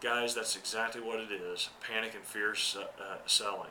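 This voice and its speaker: A fairly low-pitched man speaks with noticeable background noise present. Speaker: accountant giving market commentary. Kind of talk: market commentary monologue. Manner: hesitant, many fillers.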